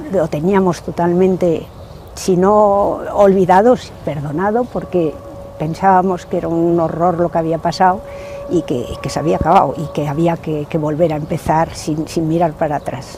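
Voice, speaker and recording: Music plays in the background as a woman talks at a moderate pace. Her pitch is fairly low and varies in an ordinary way. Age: 70s. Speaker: relative of war victim. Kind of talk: testimony.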